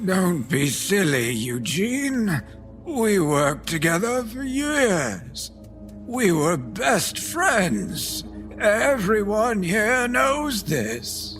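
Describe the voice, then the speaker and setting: Clear music plays behind a man doing a put-on character voice. He speaks at a very slow pace and a high pitch. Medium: audio drama. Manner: stammering, emotional.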